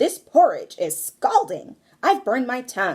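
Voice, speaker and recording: Putting on a growling character voice, a woman speaks high in pitch with very wide pitch swings at a moderate pace. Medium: read story.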